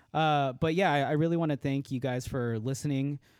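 A man with a medium pitch speaks at a moderate pace, his pitch varying in an ordinary way. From Los Angeles, California. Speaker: podcast co-host, photographer. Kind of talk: casual chat.

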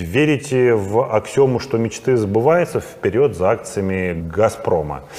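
A man speaks very slowly at a medium pitch, with lively intonation. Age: 40s. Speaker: private investor and trader, channel host. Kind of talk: casual monologue to camera.

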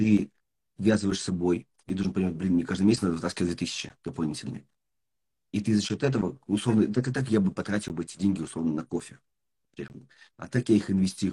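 A man with a dark, mellow tone and fairly low pitch speaks at a very fast pace, somewhat breathy, with ordinary pitch variation and long, frequent pauses. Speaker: podcast host and business mentor. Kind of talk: casual interview.

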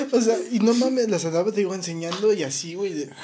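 A man speaks fast-ish and high, his intonation lively. Noticeable background noise is present. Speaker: podcast co-host. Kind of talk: casual chat. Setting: live stream. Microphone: poor quality mic.

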